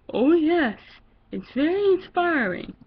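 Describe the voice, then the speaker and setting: Putting on a character voice at an extremely high pitch, a woman speaks at a fairly slow pace. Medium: read story.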